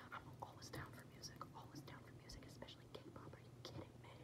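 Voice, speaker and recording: Whispering, a woman speaks at a fairly quick pace. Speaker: ASMR creator. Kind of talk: ASMR personal attention roleplay. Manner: whispered; fast, chaotic. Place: home room. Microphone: phone near.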